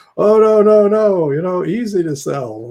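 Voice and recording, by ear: The voice is a put-on character voice. It moves at a moderate pace. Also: man, high pitch for a man.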